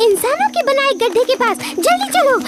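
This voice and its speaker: A squeaky, cartoonish character voice at an extremely high pitch, delivered at a moderate pace. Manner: chattering, excitable.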